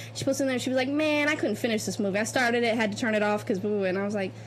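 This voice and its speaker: Music plays in the background of this recording, which has audible room echo and a voice with ordinary pitch variation. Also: woman. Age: 20s. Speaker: podcast co-host, film student. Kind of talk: casual chat.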